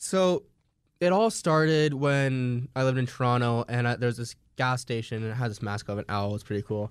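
At a fairly quick pace, an unremarkable speaking voice with ordinary pitch variation comes through a very clean recording with a silent background. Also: man, medium pitch for a man. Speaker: co-host. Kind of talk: casual chat. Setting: studio.

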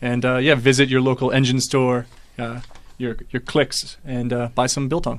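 A man with a medium-pitched voice talks in a monotone, flat intonation. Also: moderate pace. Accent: American. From US. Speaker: investor, company MD. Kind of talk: radio business interview. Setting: studio.

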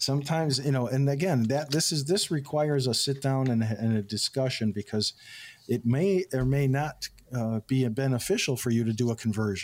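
The man has a normal speaking voice at medium pitch with ordinary pitch variation. He talks at a fairly quick pace and very even loudness. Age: 60s. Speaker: financial advisor. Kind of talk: radio call-in show chat.

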